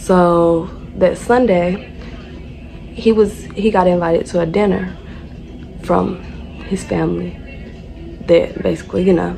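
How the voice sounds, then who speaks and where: A woman with an American accent speaks at a fairly slow pace, leaving long, frequent pauses, with music in the background. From North Carolina. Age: 20s. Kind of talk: casual storytime talk to camera.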